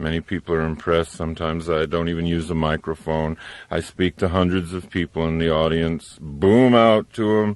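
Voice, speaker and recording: A man's very deep, low, booming voice at a moderate pace, fairly even in intonation, with a dry, close sound and no echo. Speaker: public speaker. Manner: booming, projects to large audiences.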